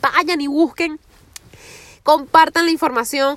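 A woman's animated tone in a dry, close sound with no echo. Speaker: podcaster. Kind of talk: casual monologue. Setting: in a car.

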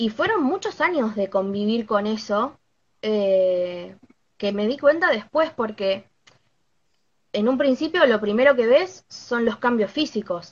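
Speaking at a very slow pace, a woman's fairly high, somewhat breathy voice carries lively intonation. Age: 20s. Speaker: knitting content creator. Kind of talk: live stream interview.

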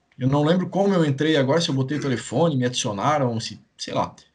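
A man speaks in a somewhat breathy voice. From Itajaí, Santa Catarina, southern Brazil. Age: 30s. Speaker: gaming YouTuber. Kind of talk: interview, casual chat.

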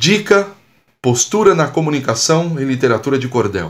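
A man's medium-pitched voice with a Brazilian accent, fairly slow, with very wide pitch swings and an animated tone. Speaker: communication and public speaking coach. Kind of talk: poet reading cordel-style rhymed verses aloud, then casual coaching talk. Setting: podcast, solo monologue. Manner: animated, encouraging, didactic.

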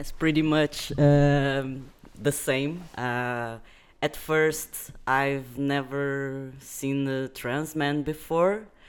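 The man talks very slowly at a fairly high pitch. His intonation stays fairly even. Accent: Portuguese. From Brazil. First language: Portuguese. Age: 20s. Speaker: guest. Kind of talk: casual chat. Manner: halting.

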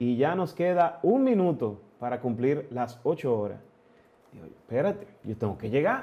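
Talking at a fairly slow pace, a man with a fairly high pitch makes very wide pitch swings and big swings in loudness. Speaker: amateur triathlete. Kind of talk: casual chat.

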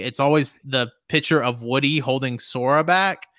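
A man with a slight Southern US accent speaks at a fairly high pitch in a bright, sharp tone with ordinary pitch variation, recorded very cleanly against a silent background. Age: 20s. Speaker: podcast host. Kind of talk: casual chat. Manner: nervous before starting, then relaxed.

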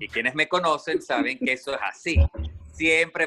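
Here a man is speaking. His pace is fairly quick. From Venezuela. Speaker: radio host. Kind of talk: casual chat. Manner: animated.

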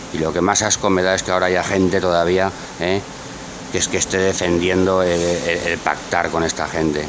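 Over noticeable background noise and audible room echo, a man speaks at a very fast pace. His pitch is very deep and low, and his intonation is monotone and flat. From Barcelona, Spain. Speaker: political talk show commentator. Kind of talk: heated political chat.

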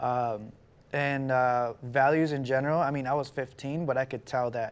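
Over a quiet background, a man speaks at a moderate pace in a medium pitch, his intonation monotone and flat. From Guatemala. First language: Spanish. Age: 30s. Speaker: credit and business consultant. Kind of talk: casual interview chat. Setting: studio with cameras.

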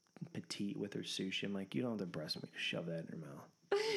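Speaking at a moderate pace, a man uses a normal speaking voice pitched fairly low. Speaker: podcast co-host. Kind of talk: casual chat.

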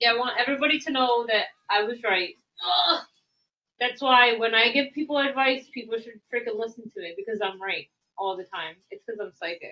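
A woman's high-pitched voice with big swings in loudness. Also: lively intonation. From Puerto Rico. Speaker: podcast co-host. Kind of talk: casual chat.

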